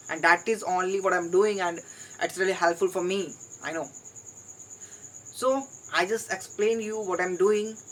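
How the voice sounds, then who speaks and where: A woman with an Indian accent speaks at a fairly slow pace, with medium pitch and fairly even intonation. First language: Hindi. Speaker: English learner vlogger. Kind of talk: solo vlog monologue. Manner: halting, with repetitions.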